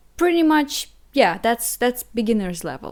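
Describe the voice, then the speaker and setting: With a non-native accent, a woman speaks in very wide pitch swings. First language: Russian. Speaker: language teacher. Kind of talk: online language lesson. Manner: hesitant, many fillers and repeats.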